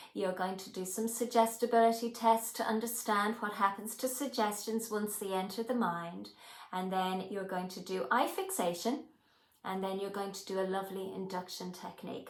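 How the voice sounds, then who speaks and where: Noticeable background noise behind a woman speaking with fairly even intonation. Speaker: hypnotherapy trainer. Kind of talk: personal storytelling to camera.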